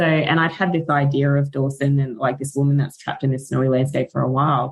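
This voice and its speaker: Speaking very fast, a woman with an Australian accent talks in a very deep, low voice. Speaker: author and book content creator. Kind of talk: casual podcast interview. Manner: animated.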